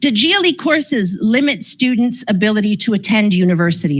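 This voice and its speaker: The woman's lively intonation comes with a somewhat breathy quality. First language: Croatian. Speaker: school board special education presenter. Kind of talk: information session presentation. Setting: in-person session, livestreamed.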